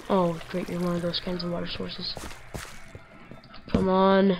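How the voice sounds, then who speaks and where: Background music accompanies the voice. The pace is moderate. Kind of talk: casual gameplay commentary.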